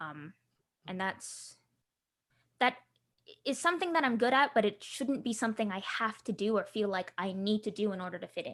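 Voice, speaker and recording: A woman's fairly high voice with an American accent, at a fairly quick pace, with lively intonation. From Southern California, Filipino diaspora. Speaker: tabletop game designer. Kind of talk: interview. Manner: halting, many fillers and restarts.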